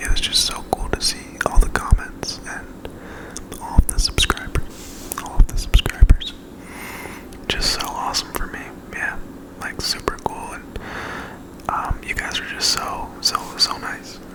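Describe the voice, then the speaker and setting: Whispering at a fairly slow pace with long, frequent pauses, a man's voice swings widely in loudness over noticeable background noise. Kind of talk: whispered ASMR ramble. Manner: whispered; casual, rambling.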